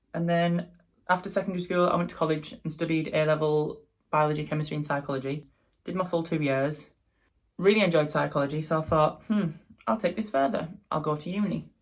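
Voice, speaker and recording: A man with a Teesside accent speaks at a very fast pace with fairly even intonation. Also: fairly high pitch for a man. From northeast England, Teesside. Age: 20s. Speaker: makeup artist and drag performer. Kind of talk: casual vlog chat.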